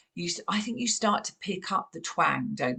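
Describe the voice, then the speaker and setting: Speaking with a southern English accent, a woman moves at a fairly quick pace with vocal fry. Her pitch swings very widely. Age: 50s. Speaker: podcast host. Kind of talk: casual interview.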